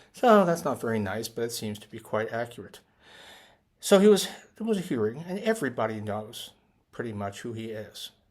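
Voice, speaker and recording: In a very clean recording with a silent background, a man uses an ordinary speaking voice at medium pitch with lively intonation. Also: moderate pace, big swings in loudness. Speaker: economist. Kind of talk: casual talk to camera.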